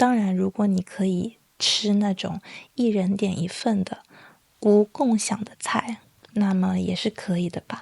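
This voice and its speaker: The voice is soft-spoken, with fairly even intonation at a fairly slow pace. The sound is dry and close, with no echo. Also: woman. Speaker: Chinese language teacher and podcaster. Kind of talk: slow educational podcast monologue. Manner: soft-spoken, slow.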